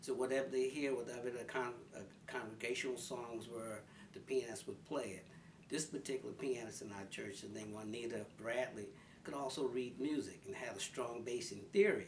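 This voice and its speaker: A man with a Philadelphia accent, medium pitch, ordinary pitch variation and moderate pace, with audible room echo and noticeable background noise. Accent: Philadelphia American English. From North Philadelphia, US. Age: 70s. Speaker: senior interviewee. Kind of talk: life story interview.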